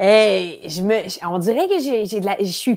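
A woman's fairly high voice, dark and mellow in tone, with a Quebec accent, very slow, over a quiet background. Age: 40s. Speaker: improv actress. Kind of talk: casual interview chat. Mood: lively, laughing, animated. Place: home room. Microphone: earbuds.

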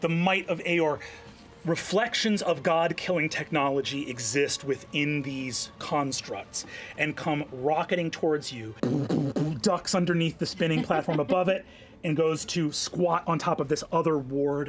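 Man speaking at a fairly slow pace with ordinary pitch variation over faint music in the background. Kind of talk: dramatic game narration. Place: studio.

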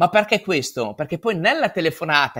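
A man's pitch swings very widely. Behind him, the background stays quiet. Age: 40s. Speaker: real estate agent; guest. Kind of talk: conference talk.

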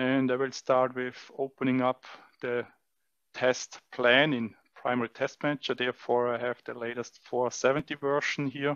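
A man's monotone, flat delivery, dry with no echo, over a quiet background. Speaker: test equipment demonstrator. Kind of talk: tutorial. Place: hall. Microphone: headset.

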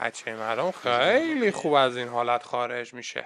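A man's animated tone at a moderate pace. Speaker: snooker commentator and coach. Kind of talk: live commentary over match video.

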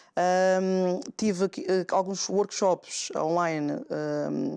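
A woman's intonation stays fairly even. Behind her, the background is quiet. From São Tomé and Príncipe. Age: young. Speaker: guest. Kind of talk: talk show interview. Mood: calm, friendly. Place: studio. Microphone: lapel.

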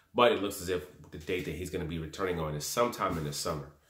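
A man talks at a very fast pace, with audible room echo around him. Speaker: boxing commentator vlogger. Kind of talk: commentary. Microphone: phone near.

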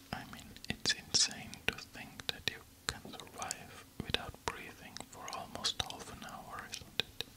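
A soft-spoken man whispers. He goes at a fairly slow pace. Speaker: relaxation video host. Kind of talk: soft-spoken fact reading. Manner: soft close whisper. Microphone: studio mic.

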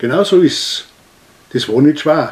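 A man speaks with an Austrian accent at a fairly slow pace. His intonation is lively. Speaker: dialect poet. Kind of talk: poetry reading. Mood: humorous storytelling. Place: home room. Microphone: camera far.

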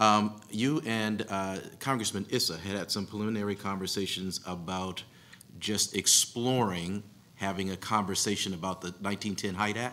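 The voice has a bright, sharp tone, moving at a moderate pace with fairly even intonation. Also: man, fairly low pitch for a man. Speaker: panel moderator. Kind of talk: panel moderation. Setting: stage with audience. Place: hall. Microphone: podium.

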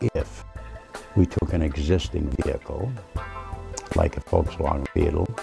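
Over clear music in the background, a man speaks fairly slowly in a very deep, low voice. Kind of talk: interview answer. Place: home room. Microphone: lapel.

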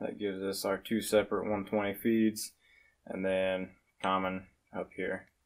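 This man's voice sits fairly low in pitch. His pace is fairly slow. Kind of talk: tutorial. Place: garage. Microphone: phone near.

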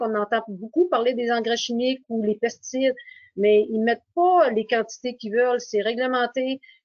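At a moderate pace, a woman with a fairly high pitch and ordinary pitch variation speaks in a dry sound with no echo over a quiet background. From Quebec. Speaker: mill team leader; webinar panelist. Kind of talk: webinar presentation. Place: home room. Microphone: video call.

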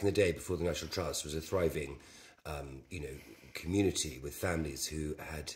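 Marked by vocal fry and big swings in loudness, a man talks at a fairly quick pace. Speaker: interviewee. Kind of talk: interview answer. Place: home room. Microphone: camera far.

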